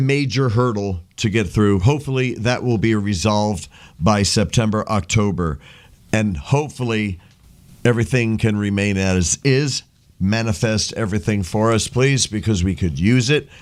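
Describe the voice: Recorded very cleanly with a silent background, a man with an unremarkable speaking voice talks at a moderate pace and a fairly low pitch. His loudness stays very even, with ordinary pitch variation.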